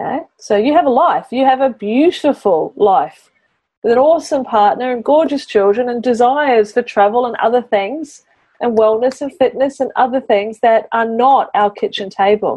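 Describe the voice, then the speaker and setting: A woman speaks in a high voice with a slight New Zealand accent. Her intonation is lively and her pace moderate. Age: 40s. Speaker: business mentor and podcast host. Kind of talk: mentoring session. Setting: in a car.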